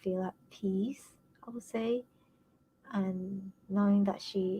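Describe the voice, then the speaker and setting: Dark and mellow in tone, this somewhat breathy voice moves at a very slow pace with fairly even intonation. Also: woman. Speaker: family caregiver and challenge host. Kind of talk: live stream talk to group.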